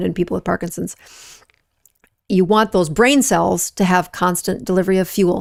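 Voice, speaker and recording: On a very clean recording with a silent background, a woman with an American accent talks at a fairly quick pace. Her pitch is fairly low, and vocal fry shows in her voice. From US, small rural town. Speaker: physician and health show host. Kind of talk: live Q&A show. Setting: livestream. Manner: conversational, with fillers.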